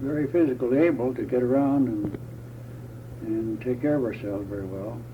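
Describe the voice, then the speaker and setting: Amid noticeable background noise and audible room echo, a man with an American accent speaks fairly quickly at a medium pitch with ordinary pitch variation. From US Midwest (Indiana). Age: 80s+. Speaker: retiree interviewee. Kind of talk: oral history interview. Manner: halting.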